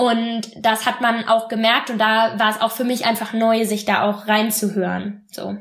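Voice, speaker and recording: Here a woman speaks in a normal speaking voice at a moderate pace. Her pitch is fairly high. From western Germany, Bonn. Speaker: former exchange student. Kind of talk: podcast interview.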